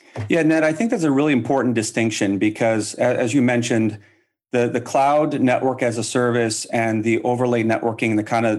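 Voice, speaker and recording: In a very clean recording with a silent background, a man with a normal speaking voice talks at a fairly quick pace, with medium pitch and ordinary pitch variation. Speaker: company representative, sponsor guest. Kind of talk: sales pitch.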